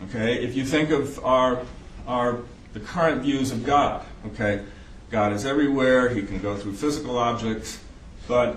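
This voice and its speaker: A man with an American accent, medium pitch and fairly even intonation, at a moderate pace with long, frequent pauses, amid audible room echo and noticeable background noise. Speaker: psychiatrist lecturer. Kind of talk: lecture.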